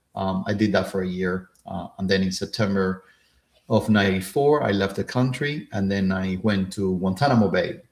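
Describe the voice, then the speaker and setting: A man with a Cuban accent talks at a moderate pace in a fairly low pitch, showing ordinary pitch variation. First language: Spanish. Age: 50s. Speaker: career and real estate coach. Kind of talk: live stream talk. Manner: halting, many fillers.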